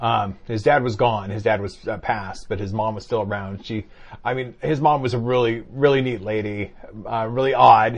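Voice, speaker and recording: This man has a normal speaking voice, a medium pitch and fairly even intonation. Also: moderate pace. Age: 50s. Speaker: podcast co-host. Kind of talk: casual chat.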